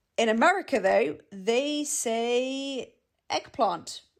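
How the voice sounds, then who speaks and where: A woman with a British RP accent speaks at a fairly high pitch. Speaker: English teacher. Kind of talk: language lesson to camera. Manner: friendly, casual.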